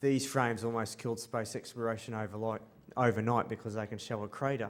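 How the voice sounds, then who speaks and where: A man speaks with an Australian accent at a medium pitch. His intonation stays fairly even. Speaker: space artist. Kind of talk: conference presentation. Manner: halting, many ums.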